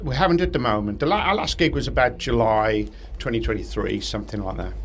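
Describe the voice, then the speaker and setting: Speaking at a very fast pace, a man is heard with audible room echo and noticeable background noise. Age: 60s. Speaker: rock guitarist. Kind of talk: interview. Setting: music festival backstage. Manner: halting, repeats words.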